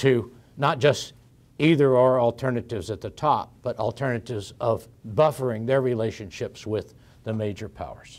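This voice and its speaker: A man speaks in an American accent at a medium pitch. His pace is moderate and his intonation fairly even. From Texas. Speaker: professor. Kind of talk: lecture. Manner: halting, frequent fillers and restarts.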